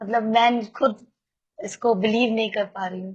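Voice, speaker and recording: This woman's voice is fairly high and somewhat breathy. Her intonation stays fairly even. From Kolkata, West Bengal, India. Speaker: recovering alcoholic sharing at a support meeting. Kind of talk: testimony. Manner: halting, many fillers.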